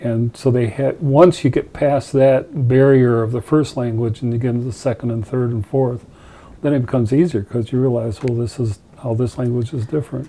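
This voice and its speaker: A man speaks with a dark, mellow tone at a fairly quick pace. His intonation stays fairly even. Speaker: television interviewer. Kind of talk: interview. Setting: studio. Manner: casual, laughs often. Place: studio.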